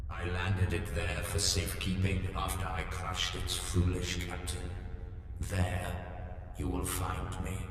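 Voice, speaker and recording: A man uses a put-on character voice with a very deep, low pitch at a moderate pace. There is strong echo and loud background noise. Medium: video game. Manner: grandiose, formal.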